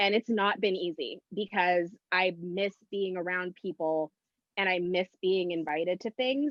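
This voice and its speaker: A woman with a normal speaking voice, medium in pitch, at a fairly slow pace with ordinary pitch variation. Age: 30s. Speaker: talk show co-host. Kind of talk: casual chat.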